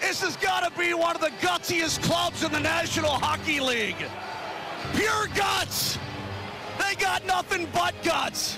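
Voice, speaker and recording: Shouting at an extremely high pitch, a man speaks at a fairly slow pace with ordinary pitch variation, the sound dry with no echo and music clear in the background. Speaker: radio play-by-play commentator. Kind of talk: live radio sports play-by-play call. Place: booth.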